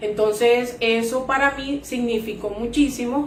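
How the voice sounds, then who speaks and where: Noticeable background noise surrounds a woman with a Venezuelan accent. Her fairly high pitch shows ordinary variation, at a fairly slow pace. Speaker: insurance sales agent. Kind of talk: interview testimony.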